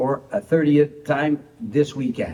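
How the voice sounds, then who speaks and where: This man speaks with a Quebec French accent. His pitch is fairly high. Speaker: motorsport broadcaster and race driver. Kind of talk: prepared acceptance speech read aloud. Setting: pre-recorded video.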